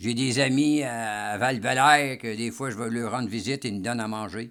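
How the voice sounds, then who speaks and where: Fairly even intonation from a man, medium in pitch, at a moderate pace. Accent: Quebec. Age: 70s. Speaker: retiree. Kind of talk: casual interview. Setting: at his home.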